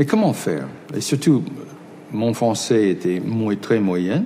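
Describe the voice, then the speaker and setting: Over noticeable background noise, a man talks at a fairly slow pace with a medium pitch and lively intonation. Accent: English. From United States. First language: English (speaking French). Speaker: film director. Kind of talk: interview. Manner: halting, many repetitions.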